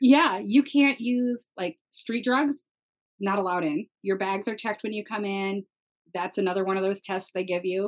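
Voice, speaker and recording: In a normal speaking voice, a woman talks at medium pitch with an American accent, ordinary pitch variation and a moderate pace. The sound is dry and close, with no echo. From US Midwest, Minnesota. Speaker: online content creator. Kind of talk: casual chat.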